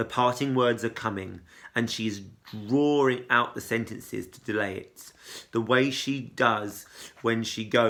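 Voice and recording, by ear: The passage is read aloud in a natural voice.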